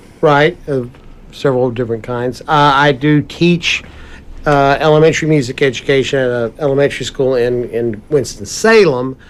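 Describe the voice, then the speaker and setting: This man talks in a normal speaking voice with ordinary pitch variation. His pitch is fairly high and his pace is moderate. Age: 60s. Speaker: musician and music teacher. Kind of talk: casual chat.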